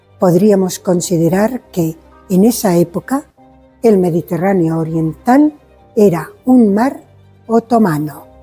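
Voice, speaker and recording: With music in the background, a woman talks at a very slow pace using lively intonation. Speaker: museum guide. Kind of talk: guided museum tour explanation.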